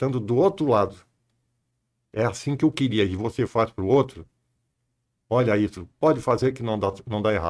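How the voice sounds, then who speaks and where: A man is talking. The audio is very clean, and the background is silent. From southern Brazil, Santa Catarina (Tubarão region). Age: 80s+. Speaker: businessman, company founder. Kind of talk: interview.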